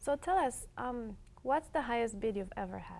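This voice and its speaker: A woman's fairly high voice at a moderate pace, with lively intonation. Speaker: TV show host. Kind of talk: TV interview host.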